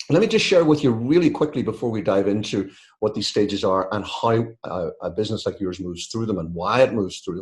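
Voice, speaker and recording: Over a quiet background, a man with a fairly low pitch talks at a very fast pace, somewhat breathy, with lively intonation. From UK. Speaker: business author and consultant. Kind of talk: webinar presentation. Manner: conversational, with fillers.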